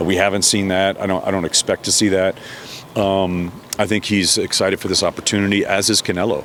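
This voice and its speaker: A man at a very fast pace, with very even loudness, monotone, flat intonation and noticeable background noise. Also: fairly low pitch for a man. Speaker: boxing ring announcer. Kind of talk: interview answer.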